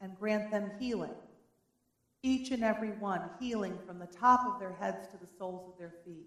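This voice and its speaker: A woman uses a normal speaking voice at medium pitch with fairly even intonation. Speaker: worship leader. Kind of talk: prayer. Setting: church.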